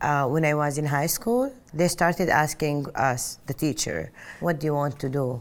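In an Arabic accent, a woman speaks at a moderate pace with a very deep, low pitch and ordinary pitch variation. The recording is very clean, with a silent background. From Saudi Arabia (Mecca). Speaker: interviewee telling life story. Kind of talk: personal testimony. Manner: loud.

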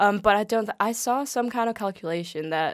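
On a very clean recording with a silent background, a woman with a Danish accent talks at a fairly quick pace. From Denmark, greater Copenhagen suburbs. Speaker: guest. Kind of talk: casual chat.

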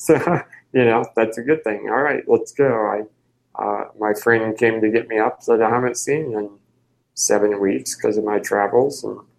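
A man with a Midwestern US accent, medium pitch, ordinary pitch variation and a moderate pace. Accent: US Midwest. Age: 30s. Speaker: wheelchair user and travel project founder. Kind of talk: interview.

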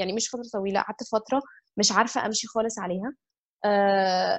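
A woman talks at a fairly quick pace with a fairly high pitch. Her pitch variation is ordinary. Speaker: architect and yoga teacher. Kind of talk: casual interview.

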